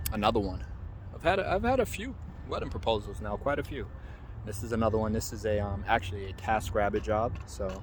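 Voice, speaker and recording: A man talks at a very fast pace. Echo from the room is audible. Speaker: vlogger and freelance photographer. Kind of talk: casual vlog. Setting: outdoors in a park. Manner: hesitant, with filler words.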